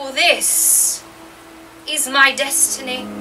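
A woman puts on a character voice with a high pitch. Background noise is clearly audible. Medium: audio drama. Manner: grandiose, regal.

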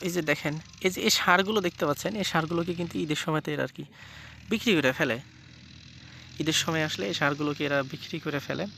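A man's unremarkable speaking voice, fairly high in pitch with ordinary variation. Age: 20s. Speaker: village vlogger. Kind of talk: casual chat; vlog narration. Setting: outdoors.

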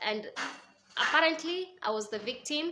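A woman's lively intonation and moderate pace come through over light background noise. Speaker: vlogger. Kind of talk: casual vlog storytelling. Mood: reflective, recounting painful past. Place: home room. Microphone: phone near.

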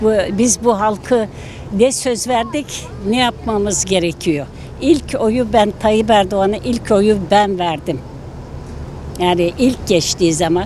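The delivery is very slow, with ordinary pitch variation. The sound is dry with no echo, over light background noise. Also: woman. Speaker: passer-by interviewee. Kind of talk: street interview. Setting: outdoors. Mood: upset, indignant. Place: street. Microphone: handheld.

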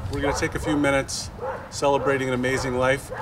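A man's words come through with noticeable background noise behind them. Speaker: town official hosting a memorial. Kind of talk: memorial speech. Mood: warm, respectful. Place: open country. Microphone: podium.

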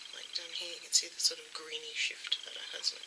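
A woman's voice comes through with noticeable background noise. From Australia. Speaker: beauty YouTuber. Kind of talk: unboxing haul video. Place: home room. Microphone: webcam.

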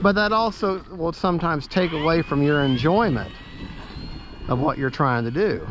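A man speaks at a moderate pace with a fairly bright tone over faint background noise. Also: fairly high pitch for a man, lively intonation.

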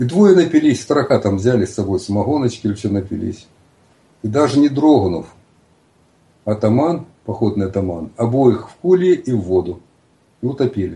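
A man with a dark, mellow tone talks at a moderate pace, somewhat breathy and with long, frequent pauses. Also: medium pitch for a man, lively intonation. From Russia, Cossack stanitsa in the south. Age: 60s. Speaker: writer. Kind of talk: casual chat. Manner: halting.

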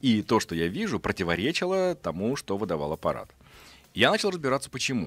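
Fairly quick speech from a man with vocal fry and very wide pitch swings, in a dry sound with no echo. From Russia, Astrakhan, moved often as military child; Russia. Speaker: physician and science journalist; science journalist. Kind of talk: radio interview. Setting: radio studio. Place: studio. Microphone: studio mic.

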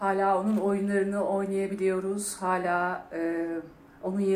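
Against light background noise and audible room echo, a woman talks fairly slowly in a monotone, flat intonation. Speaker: award recipient actress. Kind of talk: acceptance speech. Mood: warm, grateful. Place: stage. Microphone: podium.

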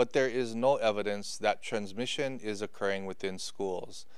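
Here a man talks at a moderate pace with fairly even intonation. The sound is dry with no echo and the background is quiet. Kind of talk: official public briefing. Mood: serious, concerned. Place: office. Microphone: podium.

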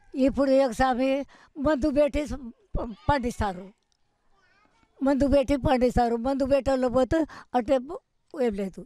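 A woman speaks with a high pitch and a dark, mellow tone. The sound is dry with no echo, over a quiet background. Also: ordinary pitch variation. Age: 80s+. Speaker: centenarian farmer; interviewee. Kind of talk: interview; interview answer. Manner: halting. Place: open country.

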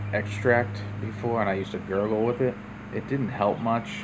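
Noticeable background noise sits under a flat, monotone delivery at a moderate pace. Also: man. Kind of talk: casual tutorial. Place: home room. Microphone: phone near.

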